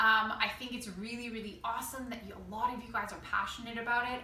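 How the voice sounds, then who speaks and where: A woman speaks at a high pitch and a fairly quick pace. Noticeable background noise and audible room echo surround her voice. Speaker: school cooking teacher. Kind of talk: tutorial. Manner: fast; casual, upbeat.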